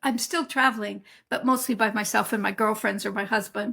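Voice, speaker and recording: A woman speaks at a fairly quick pace with a fairly high, somewhat breathy voice and fairly even intonation. The recording is very clean, with a silent background. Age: 70s. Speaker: herbalist. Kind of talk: interview. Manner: conversational.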